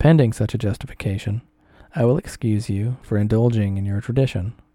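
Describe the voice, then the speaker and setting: On a very clean recording with a silent background, a man speaks fairly quickly in a dark, mellow tone at medium pitch with ordinary variation. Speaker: narrator reading an essay aloud. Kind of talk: reading aloud. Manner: halting, stumbles over words.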